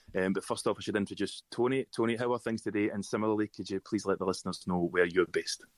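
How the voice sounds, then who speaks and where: With a Scottish accent, the speaker goes at a very fast pace and fairly even intonation, in a dry, close sound with no echo. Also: man, fairly low pitch for a man. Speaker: podcast host. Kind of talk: scripted intro; podcast chat.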